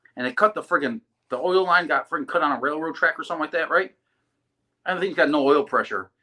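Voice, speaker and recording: A man speaks very fast in an American accent, with a fairly high pitch and ordinary pitch variation. His tone is bright, sharp and animated. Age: 30s. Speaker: drag racer. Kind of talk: casual chat.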